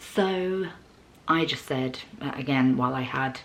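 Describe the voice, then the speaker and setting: A woman with a very deep, low pitch is heard over noticeable background noise and audible room echo. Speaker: vlogger. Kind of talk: storytime vlog.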